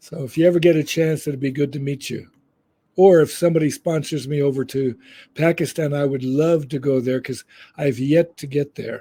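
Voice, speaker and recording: Somewhat breathy and dark, mellow in tone, a man with an American accent and fairly high pitch keeps his intonation fairly even. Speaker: peace organization founder and educator. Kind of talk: interview. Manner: slowed down, careful enunciation.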